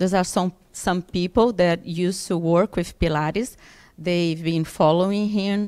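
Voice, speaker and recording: A woman at a fairly slow pace and fairly low pitch, with fairly even intonation, against a quiet background. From Brazil. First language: Portuguese (speaking Russian). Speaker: physiotherapist and Pilates trainer; Pilates trainer. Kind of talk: conference talk in English with interpretation. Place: hall. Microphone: podium.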